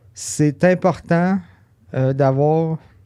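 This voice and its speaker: The voice has a dark, mellow tone with a Quebec accent. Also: man. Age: 30s. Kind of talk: interview answer.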